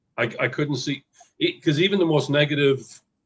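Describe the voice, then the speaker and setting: A man talks at a fairly quick pace. His voice sits fairly high and sounds somewhat breathy. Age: 60s. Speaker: former Jehovah's Witness sharing experience. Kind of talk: group discussion, personal story. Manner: halting, self-correcting.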